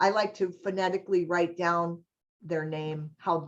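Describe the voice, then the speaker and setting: This woman has an ordinary speaking voice and a moderate pace. Her intonation is fairly even. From US East Coast, New York. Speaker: HR trainer and college staff. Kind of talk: webinar training presentation. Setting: online webinar.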